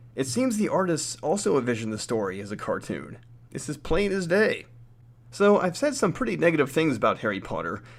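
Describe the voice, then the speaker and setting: This man has a fairly high pitch with vocal fry and very wide pitch swings. He talks at a fairly quick pace on a very clean recording with a silent background. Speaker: book reviewer, podcast host. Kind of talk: scripted review monologue.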